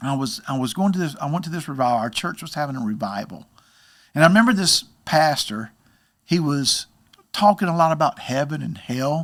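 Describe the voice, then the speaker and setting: In a very clean recording with a silent background, a man with an ordinary speaking voice talks at a fairly quick pace, his pitch fairly high and his intonation lively. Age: 60s. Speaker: baseball hitting coach. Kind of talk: casual interview, personal testimony.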